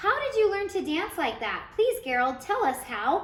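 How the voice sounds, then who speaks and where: A woman puts on a squeaky character voice at an extremely high pitch, swinging very widely in pitch. She speaks at a moderate pace, with slight echo. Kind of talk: bedtime story. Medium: read story.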